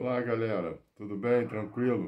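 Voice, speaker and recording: A man with a dark, mellow tone speaks at a fairly slow pace. The background is quiet. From Brazil. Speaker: retired visual artist and video blogger; storyteller. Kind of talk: casual personal storytelling to camera. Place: home room. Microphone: phone near.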